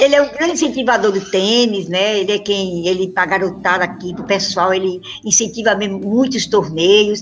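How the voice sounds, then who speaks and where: A woman at medium pitch talks with ordinary pitch variation and a moderate pace, noticeable background noise in the mix. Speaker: amateur tennis player. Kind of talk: interview. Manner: animated.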